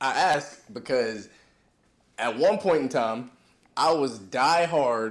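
A man with an American accent and a medium-pitched voice. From Fayetteville, North Carolina. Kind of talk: casual chat.

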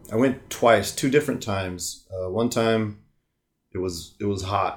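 This man has a plain, everyday voice with an American accent, fairly low pitch and ordinary pitch variation, speaking at a fairly slow pace on a very clean recording with a silent background. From US West Coast. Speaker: podcast co-host. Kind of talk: casual chat.

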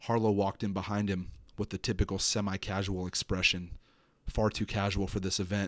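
A man talks fairly quickly at a fairly low pitch with monotone, flat intonation. The recording is very clean with a silent background and a dry, close sound with no echo. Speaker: podcast host and horror writer. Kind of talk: horror audiobook narration, first-person dread, read aloud from his own short story. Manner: halting, casual, filler-heavy in the intro.

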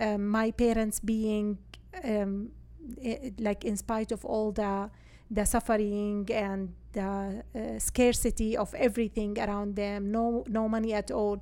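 A woman's fairly high, dark, mellow voice at a fairly slow pace, with monotone, flat intonation. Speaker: real estate agent and former teacher. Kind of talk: casual interview.

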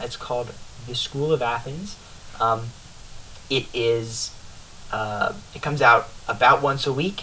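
A man at a medium pitch, with long, frequent pauses and noticeable background noise. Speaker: podcast host. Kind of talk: casual chat. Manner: halting.

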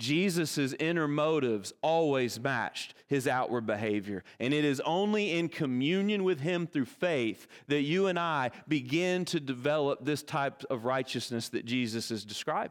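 In a Kentucky accent, a man speaks at a fairly slow pace and a fairly high pitch with lively intonation. The recording is very clean, with a silent background. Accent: Kentucky Southern American. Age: 40s. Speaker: pastor. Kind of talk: sermon. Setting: church.

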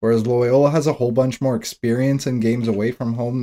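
Recorded very cleanly against a silent background, a man speaks at a moderate pace with a medium pitch and a dark, mellow tone. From Canada, Toronto. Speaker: sports betting podcast co-host. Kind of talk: casual chat.

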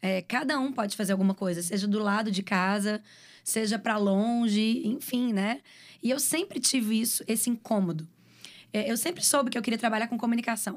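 A woman with a plain, everyday voice talks at a moderate pace at a fairly high pitch, with ordinary pitch variation and very even loudness, in a very clean recording with a silent background. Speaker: videomaker and communications professional. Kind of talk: casual interview chat.

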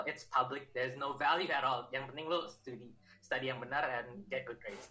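A man with an Indonesian accent, medium in pitch, with ordinary pitch variation. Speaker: engineering student. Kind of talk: casual chat.

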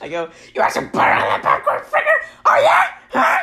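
A man uses a put-on character voice at a fairly quick pace. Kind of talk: customer service voice.

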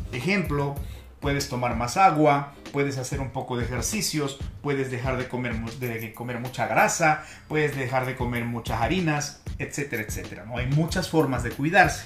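A man speaks at a moderate pace with medium pitch and ordinary pitch variation. Music plays in the background, and there is audible room echo. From Peru. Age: 50s. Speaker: podcast host, communication coach. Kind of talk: motivational talk.

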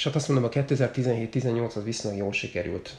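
A man speaks at a fairly quick pace with vocal fry and ordinary pitch variation. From Hungary, Makó near Szeged. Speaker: triathlete. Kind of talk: casual chat. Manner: halting, many repeated words.

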